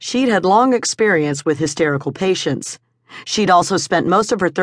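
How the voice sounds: A natural reading voice with lively intonation comes through over a quiet background.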